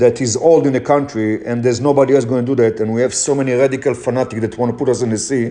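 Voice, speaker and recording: Fairly quick speech from a man with a non-native accent. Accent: foreign accent, noticeable. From Israel. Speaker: motivational speaker. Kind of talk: motivational talk.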